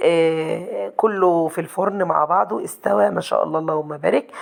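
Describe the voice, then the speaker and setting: A woman speaks over noticeable background noise. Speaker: cooking channel host. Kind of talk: cooking tutorial. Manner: fast.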